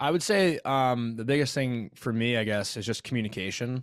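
In an unremarkable speaking voice with an American accent, a man talks at a medium pitch with fairly even intonation on a very clean recording with a silent background. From US Northeast, Long Island, New York. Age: 20s. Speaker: podcast host. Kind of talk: casual chat.

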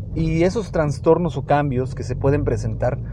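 A man's fairly slow speech is heard through audible room echo, with noticeable background noise around it. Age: 30s. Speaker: podcast host. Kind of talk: personal monologue. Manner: halting, with many fillers.

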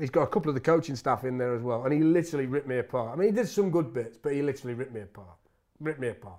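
A man with an East Midlands accent talks at a very fast pace, his medium pitch moving in lively intonation. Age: 40s. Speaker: football commentator. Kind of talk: casual interview.

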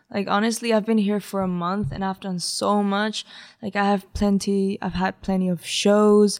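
Here a woman with a Spanish accent talks at a moderate pace and medium pitch in a monotone, flat intonation. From Peru. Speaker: singer. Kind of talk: casual interview.

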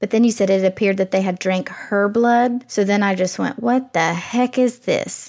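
This woman has an unremarkable speaking voice at a medium pitch. Her pace is moderate. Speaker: true crime podcast co-host. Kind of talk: casual chat, reacting to the story. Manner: conversational, upbeat.

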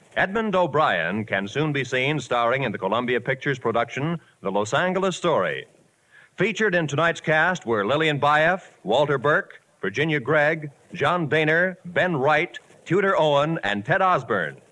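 A man talks at a moderate pace in a fairly high voice, with lively intonation and vocal fry. His loudness stays very even. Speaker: radio announcer. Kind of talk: announcer reading intro, promos and credits.

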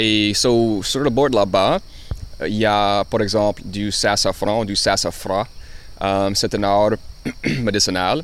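A man's fairly low-pitched voice at a very slow pace, fairly even in intonation, broken by long, frequent pauses, with noticeable background noise. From Louisiana. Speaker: journalist and gardener. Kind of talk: casual interview.

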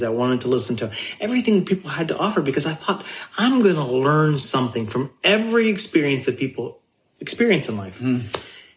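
Somewhat breathy, a man with an American accent talks at a very fast pace with lively intonation. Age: 50s. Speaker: guest sharing life story. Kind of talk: personal testimony.

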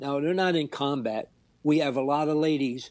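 Against a quiet background, a man with a Philadelphia accent talks at a moderate pace and a fairly high pitch. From Philadelphia, Pennsylvania. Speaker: retired Marine drill instructor. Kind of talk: interview storytelling.

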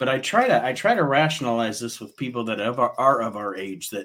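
A man uses an ordinary speaking voice at medium pitch. His pace is moderate and his intonation lively. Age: 40s. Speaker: wrestling podcast host. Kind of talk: casual chat.

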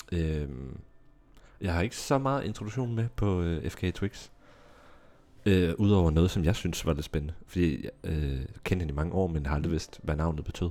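A man's very deep, low voice, dark and mellow in tone, with lively intonation at a moderate pace. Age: 30s. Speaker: podcast co-host. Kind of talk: casual chat. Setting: studio.

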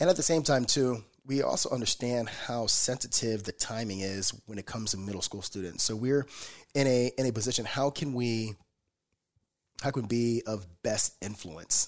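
A normal speaking voice with an American accent is heard. The pace is moderate. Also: man, medium pitch for a man, ordinary pitch variation. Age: 30s. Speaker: gym owner and coach. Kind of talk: casual chat.

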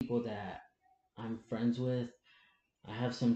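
A somewhat breathy voice with a dark, mellow tone. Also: man. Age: 20s. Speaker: interview guest, transgender man. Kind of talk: personal testimony. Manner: halting.

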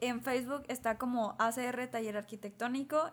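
A woman's fairly high-pitched, an ordinary speaking voice, fairly slow in pace, with fairly even intonation. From northern Mexico, Torreón, Coahuila. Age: 20s. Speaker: architect. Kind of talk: interview.

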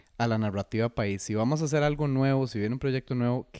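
A man's unremarkable speaking voice at medium pitch, with fairly even intonation, dry, close sound with no echo, and a very clean recording over a silent background. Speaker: photographer and author. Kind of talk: interview conversation.

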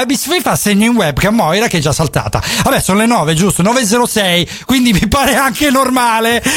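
Over noticeable background noise, a man with an extremely high pitch speaks at a moderate pace in an animated tone with lively intonation. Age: 30s. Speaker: radio host. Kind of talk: casual radio chat. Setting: radio studio, live broadcast.

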